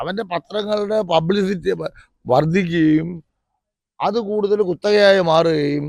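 A man's high pitch with ordinary pitch variation. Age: 60s. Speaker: grassroots party worker. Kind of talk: interview complaint. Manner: animated.

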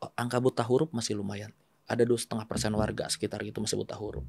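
The voice belongs to a man. Its pitch rises and falls in an ordinary way. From West Java (Bandung), Indonesia; West Java, Indonesia. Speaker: politician, former journalist. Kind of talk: casual interview. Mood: calm, earnest. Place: studio. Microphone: studio mic.

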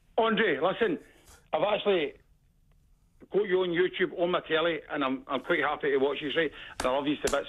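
High-pitched, a man speaks with a Glaswegian accent. He takes long, frequent pauses. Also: ordinary pitch variation, fairly quick pace. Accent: Glaswegian Scottish. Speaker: caller. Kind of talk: phone-in call. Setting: phone call. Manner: animated.

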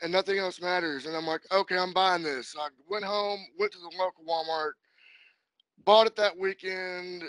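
A man's high-pitched voice with fairly even intonation, dry with no echo, over a quiet background. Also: moderate pace. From Kentucky. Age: 30s. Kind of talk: casual interview chat. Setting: phone or video call. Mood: relaxed, friendly. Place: home room. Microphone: video call.

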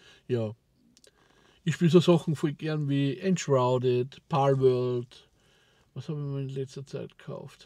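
A man with an Austrian accent and a dark, mellow tone speaks at a fairly high pitch and very slow pace with fairly even intonation, big swings in loudness and long, frequent pauses, his voice dry with no echo against a quiet background. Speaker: vlogger. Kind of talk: casual talk to camera. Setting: in a car. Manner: rambling, hesitant. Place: car. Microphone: lapel.

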